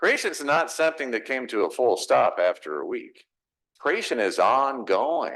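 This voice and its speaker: The speaker has a Texas accent and a fairly slow pace. The background is quiet. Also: man. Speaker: pastor. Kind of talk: sermon.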